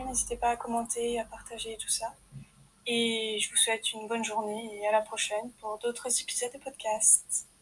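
A woman's fairly high voice at a moderate pace, flat and monotone, over noticeable background noise. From France. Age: 20s. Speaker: podcaster and aspiring writer. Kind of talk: personal introduction monologue. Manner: hesitant.

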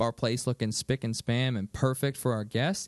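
A man's medium pitch, a normal speaking voice at a moderate pace, with ordinary pitch variation. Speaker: podcast host. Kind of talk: casual chat.

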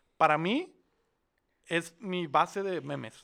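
A man's high voice with ordinary pitch variation on a very clean recording, silent background. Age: 20s. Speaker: podcast co-host. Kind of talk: casual chat.

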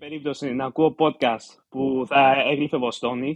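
A man speaks at a medium pitch and a fairly slow pace. His intonation is monotone and flat. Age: 20s. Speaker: doctoral candidate and paying podcast member. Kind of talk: casual chat.

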